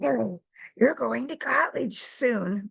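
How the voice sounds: A female-sounding, raspy, gravelly put-on character voice at medium pitch and a fairly slow pace.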